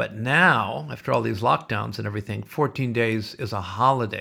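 A man's bright, sharp voice with vocal fry at a moderate pace. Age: 60s. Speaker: podcast host. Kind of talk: casual solo podcast monologue. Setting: home office. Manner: animated; jokey.

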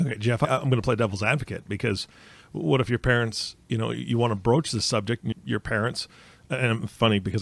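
A man's fairly low voice with vocal fry, at a very fast pace. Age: 40s. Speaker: podcast host. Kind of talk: casual chat.

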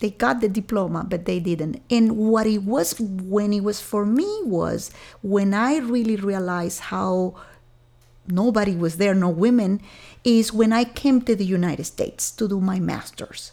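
At a fairly slow pace, a woman with a Venezuelan accent speaks at a medium pitch with ordinary pitch variation. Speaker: software engineering executive. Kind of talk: interview conversation.

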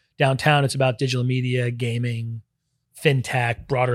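A man speaks at a fairly quick pace, medium in pitch, somewhat breathy and monotone with flat intonation. The very clean recording has a silent background and a dry, close sound with no echo. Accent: American. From Brooklyn, New York. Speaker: venture capital investor. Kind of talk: interview.

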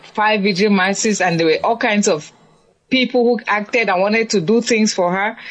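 A woman speaks with a slight African accent at a medium pitch. Her pace is moderate and her pitch variation ordinary. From Cameroon. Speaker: nun and author. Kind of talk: interview.

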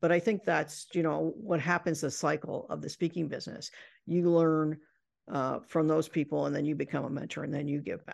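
With an American accent, a woman speaks at a fairly quick pace in a very deep, low voice with vocal fry and fairly even intonation, over a quiet background. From Indiana, US Midwest. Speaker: professional speaker and business author. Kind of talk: interview.

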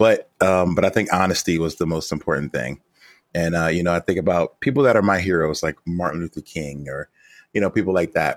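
Someone with an American accent talks at a fairly quick pace. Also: man, dry, close sound with no echo. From Philadelphia, US. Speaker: rapper. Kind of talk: interview.

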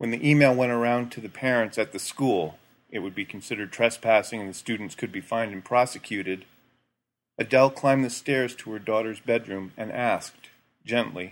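Here a man talks at a fairly quick pace in an ordinary speaking voice of medium pitch. His pitch varies in an ordinary way, while his loudness swings widely. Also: very clean recording, silent background. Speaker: guest narrator reading a short story. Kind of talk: literary audiobook reading. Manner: measured, hushed storytelling pace with soft, even narration.

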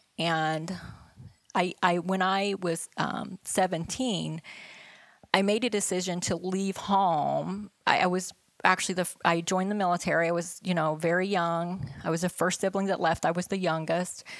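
At a moderate pace, a woman with a fairly low voice talks in a flat monotone. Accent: American. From West Virginia. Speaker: staffing executive, military veteran. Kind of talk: interview. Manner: halting, many fillers.

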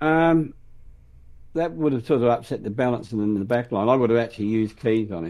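A man with an Australian accent at a medium pitch and a very fast pace. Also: ordinary pitch variation. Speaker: AFL fan podcast co-host. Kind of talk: casual sports chat.

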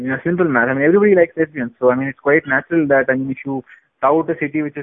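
A man at fairly high pitch, with ordinary pitch variation. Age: 20s. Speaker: tech podcast co-host. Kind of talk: casual chat.

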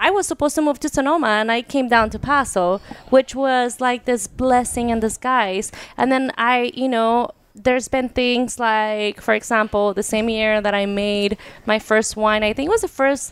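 Speaking in a Spanish accent, a woman keeps a moderate pace at a fairly high pitch. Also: ordinary pitch variation. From Mexico. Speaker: wine brand owner. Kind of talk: casual interview chat.

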